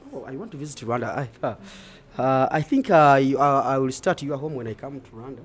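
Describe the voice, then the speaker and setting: The speaker talks at a fairly quick pace. They have a Ugandan accent. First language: Luganda. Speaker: street vlogger. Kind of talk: live street interview. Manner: animated.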